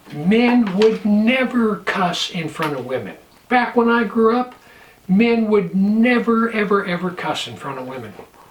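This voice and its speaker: Against noticeable background noise, a man with an American accent speaks at a fairly slow pace and high pitch. His intonation is lively, and his loudness swings widely. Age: 60s. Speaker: pastor and prepper vlogger. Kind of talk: casual vlog monologue.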